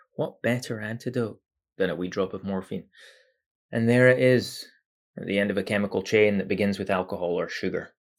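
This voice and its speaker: In a very clean recording with a silent background, a man with an ordinary speaking voice and fairly low pitch talks at a fairly quick pace with fairly even intonation. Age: 40s. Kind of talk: personal monologue. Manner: reflective.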